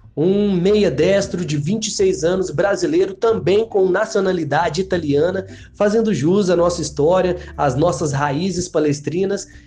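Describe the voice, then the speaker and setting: Music plays in the background as a man talks at a fairly slow pace. His pitch is high, with ordinary pitch variation. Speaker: PE teacher and football podcast co-host. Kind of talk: casual chat.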